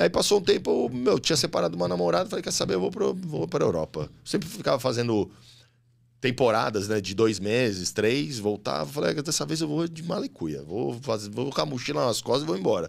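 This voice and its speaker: At a fairly quick pace, a man swings very widely in pitch, with vocal fry in his voice. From São Paulo, Lapa district; São Paulo. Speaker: model, actor and reality show contestant; actor. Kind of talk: casual chat. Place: studio. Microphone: studio mic.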